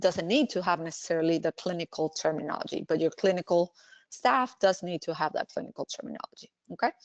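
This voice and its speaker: A woman with a Spanish accent speaks at medium pitch with ordinary pitch variation. The sound is dry and close with no echo, over a quiet background. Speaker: language services director and healthcare speaker. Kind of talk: webinar presentation Q&A. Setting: online webinar. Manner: hesitant, with fillers and restarts.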